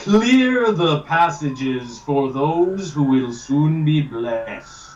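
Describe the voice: In a put-on character voice, a man speaks very slowly at a fairly high pitch.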